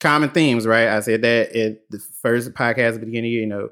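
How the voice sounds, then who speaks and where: Here a man is talking. His tone is animated. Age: 30s. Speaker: podcast host. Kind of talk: casual storytelling monologue. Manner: animated, laughing often.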